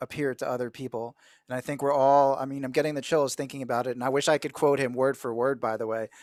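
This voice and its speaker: Man with an American accent, dry, close sound with no echo. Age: 40s. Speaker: guest speaker sharing life story. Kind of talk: personal testimony in video call. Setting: video call.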